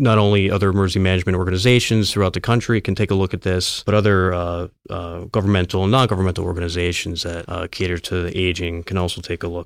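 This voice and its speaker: In a very clean recording with a silent background, a man with a very deep, low pitch talks at a very fast pace with fairly even intonation. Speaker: city agency director. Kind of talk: interview.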